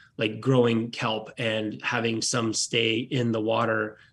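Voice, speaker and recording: This man has a medium pitch, and noticeable background noise sits behind his voice. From Southeast Alaska, Petersburg. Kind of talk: radio interview.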